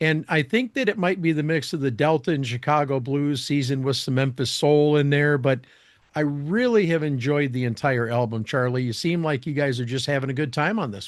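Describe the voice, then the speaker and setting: A man with an American accent speaks at a fairly quick pace and fairly high pitch. He has an ordinary speaking voice with ordinary pitch variation. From Michigan. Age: 60s. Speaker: podcast and radio host. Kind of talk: interview; scripted appeal for donations.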